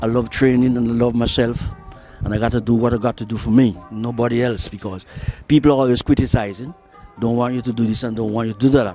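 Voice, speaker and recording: Music plays behind a man at medium pitch. He talks at a very fast pace with fairly even intonation. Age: 70s. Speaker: gym enthusiast. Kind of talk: casual talk to camera.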